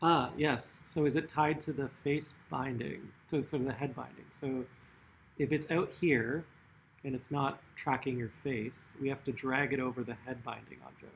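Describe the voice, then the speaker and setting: Intonation stays fairly even as a man speaks at a moderate pace and a medium pitch. His voice is somewhat breathy. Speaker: artist running a workshop. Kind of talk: tutorial. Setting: online livestream workshop. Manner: casual, many fillers.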